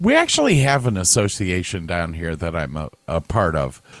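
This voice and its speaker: Talking at a moderate pace with an American accent, a man shows vocal fry and lively intonation. The recording is very clean, with a silent background. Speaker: podcast co-host. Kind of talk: casual chat.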